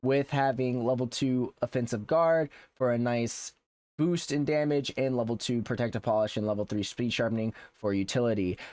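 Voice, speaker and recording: Speaking at a moderate pace, a man uses a medium pitch with ordinary variation. The very clean recording has a silent background and a dry, close sound with no echo. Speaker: gaming YouTuber and streamer. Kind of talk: game build guide tutorial. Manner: halting, many fillers and restarts.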